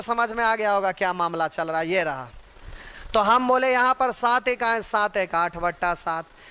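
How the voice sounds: At a fairly slow pace, a man speaks in a high pitch with a bright, sharp tone.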